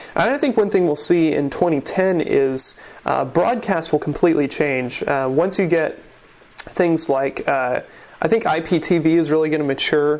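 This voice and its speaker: A man's fairly high voice at a fairly slow pace, with ordinary pitch variation, very even loudness and noticeable background noise. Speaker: podcast host. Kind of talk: casual podcast chat. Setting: home.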